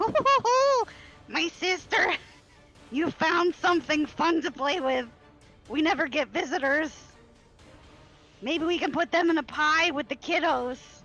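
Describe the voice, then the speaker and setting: In a put-on character voice, a man cackles at an extremely high pitch and a moderate pace, with faint music in the background. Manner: cackling, gleeful.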